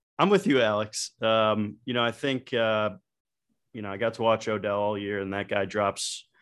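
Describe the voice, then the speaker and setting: A man with an American accent speaks at a fairly slow pace, his fairly low voice flat and monotone. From Ohio. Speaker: sports podcast co-host. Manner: joking, teasing.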